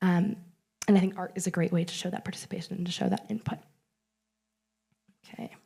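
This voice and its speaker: A woman speaks at a medium pitch. Her tone is dark, mellow and somewhat breathy. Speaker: conference presenter, researcher. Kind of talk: conference talk. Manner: fast.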